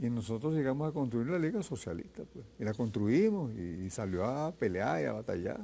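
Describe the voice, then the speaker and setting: A man with a medium-pitched, dark and mellow voice talks with hardly any pauses and very wide pitch swings. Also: moderate pace. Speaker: veteran leftist politician. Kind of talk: interview.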